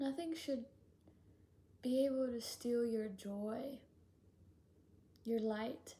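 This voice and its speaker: A woman speaks at a very slow pace with a high pitch. Her tone is gentle and soothing, yet dark and mellow. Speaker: spiritual channeler. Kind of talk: channeled spiritual message. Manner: gentle, soothing.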